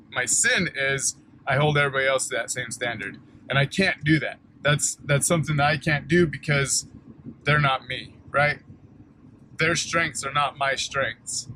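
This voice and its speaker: A loud man at a moderate pace, fairly high-pitched for a man, with fairly even intonation and a bright, sharp tone. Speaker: junk removal business owner. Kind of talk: vlog monologue. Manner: halting, repeats words.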